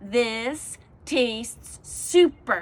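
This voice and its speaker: A woman's put-on character voice, fairly high in pitch. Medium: read story. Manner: eager, over-the-top.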